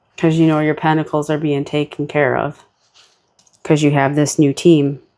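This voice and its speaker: The voice belongs to a woman with a very deep, low pitch. Her intonation is monotone and flat. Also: moderate pace. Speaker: tarot card reader. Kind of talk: tarot reading. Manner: casual, relaxed.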